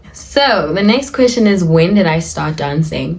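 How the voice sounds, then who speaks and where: Speaking at a fairly slow pace, a woman uses a medium pitch and ordinary pitch variation, with audible room echo around her. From South Africa. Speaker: lifestyle and dance vlogger. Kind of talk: casual Q&A vlog talk. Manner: casual, chatty.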